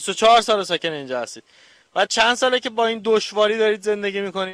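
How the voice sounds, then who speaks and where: A man with a high pitch talks at a very fast pace, with ordinary pitch variation. The recording is very clean, and the background is silent. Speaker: TV interviewer. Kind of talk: street interview questions.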